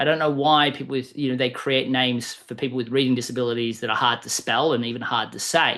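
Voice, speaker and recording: The speech goes at a very fast pace with ordinary pitch variation. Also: man. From Australia. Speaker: sales coach and author. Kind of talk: interview.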